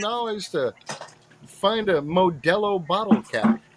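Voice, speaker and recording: A man talks in a high pitch with an animated tone. Noticeable background noise runs underneath. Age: 50s. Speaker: metal detectorist. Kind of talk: casual chat.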